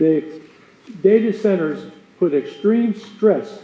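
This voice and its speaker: Over noticeable background noise, a man speaks loudly. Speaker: resident speaking at public comment. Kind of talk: public comment. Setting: county board meeting room with audience.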